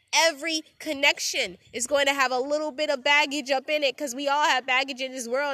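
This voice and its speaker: A woman's raised, projected voice has a high pitch and a bright, sharp, animated tone, delivered at a fairly quick pace in a dry, close sound with no echo. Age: 20s. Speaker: podcast host. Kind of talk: solo monologue.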